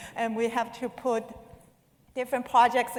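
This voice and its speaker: Noticeable background noise surrounds a woman speaking with a non-native accent. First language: not English. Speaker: conference speaker. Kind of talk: conference talk. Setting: stage with audience.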